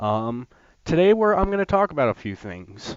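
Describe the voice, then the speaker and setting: Speaking at a fairly quick pace, a man uses lively intonation. The sound is dry and close with no echo, and the background is quiet. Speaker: gaming youtuber. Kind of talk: gameplay commentary. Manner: hesitant, many fillers.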